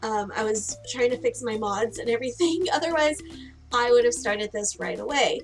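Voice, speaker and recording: With music in the background, a woman speaks at a high pitch in an upbeat tone, her intonation lively and her pace moderate. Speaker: gaming streamer. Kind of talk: casual gameplay commentary. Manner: upbeat, chatty.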